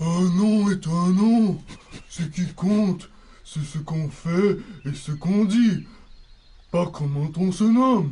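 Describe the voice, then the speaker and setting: Using a put-on character voice pitched high, a man speaks at a fairly slow pace. Long, frequent pauses break up his speech. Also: ordinary pitch variation. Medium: audio drama.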